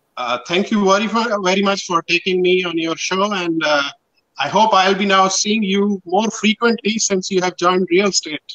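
A man talks in a high voice with a bright, sharp tone. The background is quiet. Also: ordinary pitch variation, moderate pace. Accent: Pakistani. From northwest Pakistan. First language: Pashto. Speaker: printing and promotional business owner. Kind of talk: casual interview. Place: home room.

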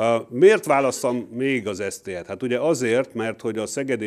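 Delivered at a fairly quick clip, the voice rises and falls with ordinary pitch variation. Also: man, quiet background. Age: 50s. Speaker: university professor; university lecturer. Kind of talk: lecture. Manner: halting. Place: hall. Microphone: podium.

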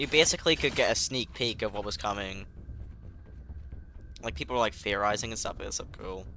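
With a British accent, a man talks at a fairly quick pace yet leaves long, frequent pauses. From UK. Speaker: gaming streamer. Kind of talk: live gameplay commentary. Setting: live stream. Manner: animated.

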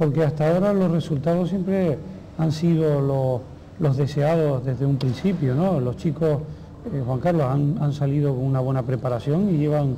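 With very even loudness and ordinary pitch variation, a man speaks at a moderate pace over light background noise. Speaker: TV interviewer. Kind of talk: interview. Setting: at a school. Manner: formal. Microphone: lapel.

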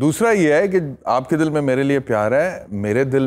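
The pace is moderate. The pitch swings very widely. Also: man. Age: 40s. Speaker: lawyer and TV anchor; lawyer, TV anchor. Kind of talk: talk show interview. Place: studio. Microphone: lapel.

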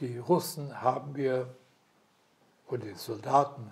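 In a somewhat breathy voice, a man delivers his words at a fairly slow pace. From Silesia. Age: 80s+. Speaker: war veteran, retired headteacher. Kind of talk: interview answer. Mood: calm, reflective storytelling. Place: home room. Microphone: lapel.

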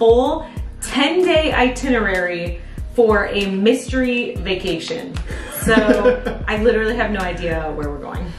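Over clear music in the background and audible room echo, a woman speaks at a fairly slow pace with long, frequent pauses. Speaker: vlogger. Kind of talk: casual vlog chat. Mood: excited and touched. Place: home room. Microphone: camera far.

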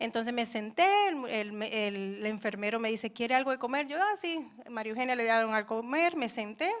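Fairly high-pitched woman's voice, bright and sharp, with ordinary pitch variation over a quiet background. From New York, Dominican family. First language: English (speaking Spanish). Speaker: churchgoer giving testimony; speaker. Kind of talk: testimony. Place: church. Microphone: handheld.

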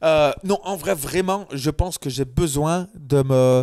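A man speaks very slowly at a fairly high pitch, with ordinary pitch variation and a dry, close sound with no echo. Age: 30s. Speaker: videographer. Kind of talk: casual chat. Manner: hesitant, many fillers.

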